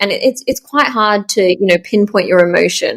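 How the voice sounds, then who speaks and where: A woman speaks at a medium pitch. Her voice has ordinary pitch variation. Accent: Australian. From Australia, Melbourne. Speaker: startup founder. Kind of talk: interview. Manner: fast.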